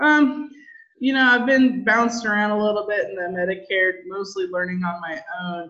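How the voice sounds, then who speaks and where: A woman with an American accent speaks at a moderate pace. Her tone is bright and sharp, and her intonation is lively. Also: medium pitch for a woman. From Southern California. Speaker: insurance agency owner. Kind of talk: interview.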